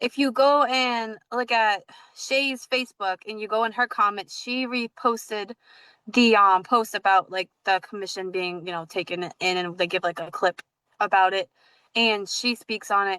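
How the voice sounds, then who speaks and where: A woman speaks with an American accent at a fairly high pitch, her tone bright and sharp. The pitch varies in an ordinary way, and the sound is dry and close with no echo. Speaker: podcast host. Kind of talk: casual chat. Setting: livestream video call. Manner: fast; halting, filler-heavy.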